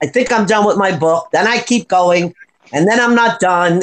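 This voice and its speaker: A woman at medium pitch and a moderate pace, with ordinary pitch variation. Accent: American. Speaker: writer. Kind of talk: casual chat. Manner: animated.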